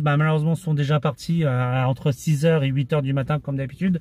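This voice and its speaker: A man's voice comes across dark and mellow. He keeps a moderate pace in a dry sound with no echo. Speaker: flea-market vlogger. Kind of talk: casual vlog chat. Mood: relaxed, friendly. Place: car. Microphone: phone near.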